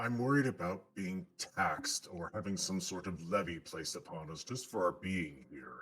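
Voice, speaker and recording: A man puts on a character voice with a very deep, low pitch. He keeps a moderate pace. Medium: actual play. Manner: polite, hesitant.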